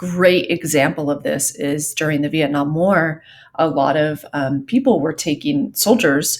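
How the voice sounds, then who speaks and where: The voice has an American accent and lively intonation. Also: woman. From Southern California. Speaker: psychology teacher. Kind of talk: lecture. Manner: many filler ums, conversational.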